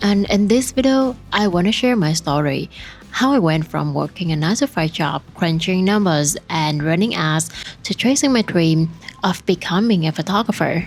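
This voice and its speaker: Music plays in the background as the speaker talks at a moderate pace. The intonation is lively and the loudness very even. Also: woman, fairly low pitch for a woman. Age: 20s. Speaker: photographer. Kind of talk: personal vlog narration.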